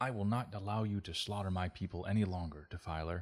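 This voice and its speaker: A man uses a put-on character voice, very deep and low in pitch, rattling along at a very fast pace with a hissing sound. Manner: hissing, furious, defiant.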